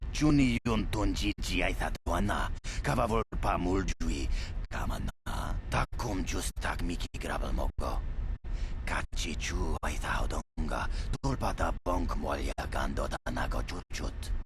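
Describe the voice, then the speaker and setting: A man puts on a character voice. He speaks at a moderate pace. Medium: video game.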